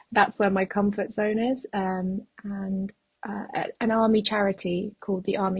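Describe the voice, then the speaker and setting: A woman speaks in a British accent at a moderate pace. Her medium-pitched voice is somewhat breathy. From England (moved from Uzbekistan at ten). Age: 30s. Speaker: soldier and trainee nurse, ultrarunner. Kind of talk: podcast interview.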